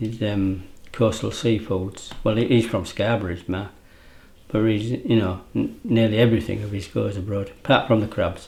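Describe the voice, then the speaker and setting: A speaker with an East Yorkshire accent talks at a moderate pace, with fairly even intonation. There is vocal fry in the voice and audible echo in the room. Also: man, fairly low pitch for a man. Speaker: fisherman. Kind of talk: interview.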